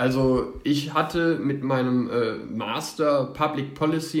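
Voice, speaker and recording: Audible echo from the room around a man's voice, pitched fairly high, with ordinary pitch movement. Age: 30s. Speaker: public administration employee. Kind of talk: interview.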